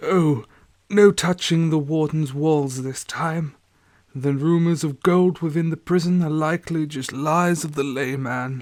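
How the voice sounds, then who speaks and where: A man's put-on character voice, raspy and wheezy, fairly high-pitched, at a fairly slow pace with fairly even intonation, on a very clean recording with a silent background. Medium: read story. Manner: measured, authoritative.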